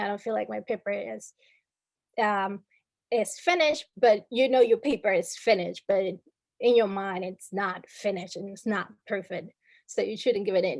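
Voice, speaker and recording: With a Spanish accent, a woman talks at a moderate pace with ordinary pitch variation in a very clean recording with a silent background. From Dominican Republic. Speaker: workshop speaker. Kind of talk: workshop presentation. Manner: many filler words (um, uh).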